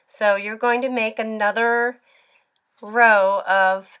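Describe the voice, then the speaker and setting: On a very clean recording with a silent background, a woman speaks fairly slowly at a fairly high pitch. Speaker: knitting tutorial maker. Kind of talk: tutorial.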